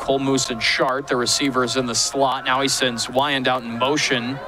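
Noticeable background noise sits under a man speaking at a medium pitch and a moderate pace, the sound dry with no echo. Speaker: play-by-play commentator. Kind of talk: live football play-by-play commentary. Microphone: headset.

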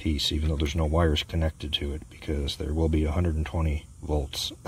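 Over light background noise, a somewhat breathy man speaks at a very deep, low pitch in a dry sound with no echo. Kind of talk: tutorial. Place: garden. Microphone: phone near.

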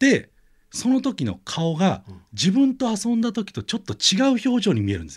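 A man talks with a high-pitched voice. The background is quiet. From Aichi Prefecture, Japan (Handa); Aichi Prefecture. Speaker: radio show regular. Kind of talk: casual chat. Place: studio.

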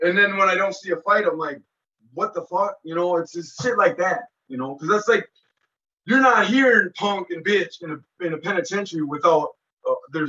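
Here a man speaks with an American accent in a high pitch, his tone bright and sharp. His pace is moderate and his pitch variation ordinary. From Minnesota. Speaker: former federal prisoner; interview guest. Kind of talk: interview, casual recounting of prison life. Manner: halting, with many fillers and repeats. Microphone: video call.

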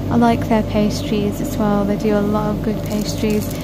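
A woman at a moderate pace, with loud background noise and a dry sound with no echo. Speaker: shopping vlogger. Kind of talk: casual vlog chat. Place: shop. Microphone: phone near.

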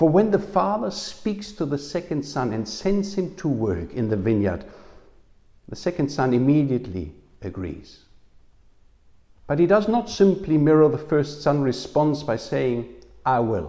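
A man with vocal fry and a dark, mellow tone talks at a fairly slow pace against a quiet background. His very wide pitch swings come between long, frequent pauses. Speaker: preacher. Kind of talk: sermon. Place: home room. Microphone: lapel.

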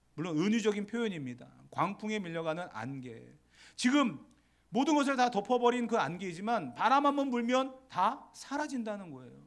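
A man's high voice at a moderate pace, with very wide pitch swings, big swings in loudness and audible room echo. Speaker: pastor. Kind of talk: sermon. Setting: church.

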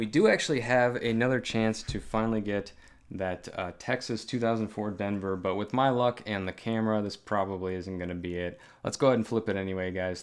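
Here is a man with an ordinary speaking voice and a fairly low pitch. He keeps a moderate pace and fairly even intonation. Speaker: coin collector host. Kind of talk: casual vlog commentary. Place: home room.

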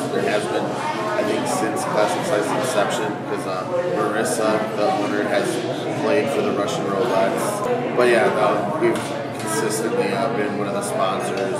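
Loud background noise runs behind the speech. A man talks at a moderate pace with ordinary pitch variation. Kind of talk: interview answer. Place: shop.

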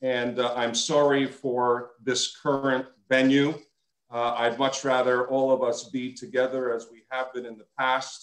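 Over a quiet background with audible room echo, a man talks in a monotone, flat intonation. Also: fairly slow pace. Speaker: synagogue president. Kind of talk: formal remarks at an online memorial lecture. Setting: video call. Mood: sincere, grateful. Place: home room. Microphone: video call.

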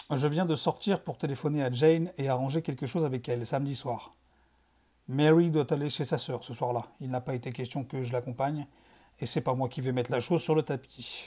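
A man's fairly high-pitched voice, dark, mellow and somewhat breathy, with fairly even intonation, in a very clean recording with a silent background. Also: fairly quick pace. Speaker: video creator reading fiction aloud. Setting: home video recording in dim, reddish lighting. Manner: casual and relaxed in intro, chatty.

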